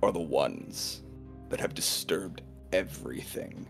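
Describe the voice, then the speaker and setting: Clear music plays in the background. A man does a put-on character voice at a very slow pace. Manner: accusatory, resentful.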